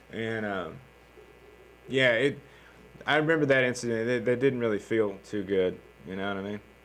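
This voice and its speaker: A man speaks at a moderate pace with a Southern US accent and a medium pitch. His pitch varies in an ordinary way, broken by long, frequent pauses. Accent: Southern accent, noticeable. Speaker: comedian. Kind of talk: casual podcast chat. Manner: casual, with many fillers and restarts.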